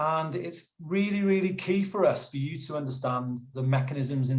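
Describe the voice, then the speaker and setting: The speaker has a plain, everyday voice, with ordinary pitch variation and a moderate pace. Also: man. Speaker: youth development manager in health careers. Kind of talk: webinar presentation. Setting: video call webinar.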